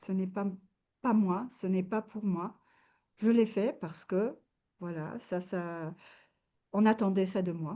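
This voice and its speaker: A woman's dark, mellow voice at a very slow pace, with long, frequent pauses and big swings in loudness. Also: medium pitch for a woman, quiet background. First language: not French (speaking French). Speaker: wellness coach. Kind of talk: interview. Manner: halting, many hesitations.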